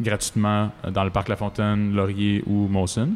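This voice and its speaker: The man speaks in a fairly low pitch. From Quebec, Laurentides. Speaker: singer-songwriter. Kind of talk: casual interview. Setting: outdoors in a park.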